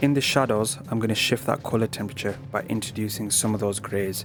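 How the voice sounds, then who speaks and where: Music plays in the background as a man talks at a very fast pace. He has a British accent and a fairly low pitch. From Britain. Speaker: digital art tutor. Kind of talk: art tutorial narration. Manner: flat, low-key.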